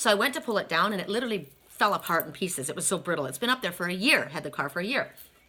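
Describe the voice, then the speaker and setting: A woman speaks at a very fast pace in an animated tone with lively intonation. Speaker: tarot card reader. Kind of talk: casual storytelling.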